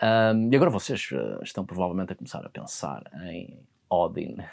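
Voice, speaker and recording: Against a quiet background, a man with vocal fry speaks at a moderate pace with ordinary pitch variation. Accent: European Portuguese. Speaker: mythology and folklore educator. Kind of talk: educational talk on mythology. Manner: hesitant, with fillers.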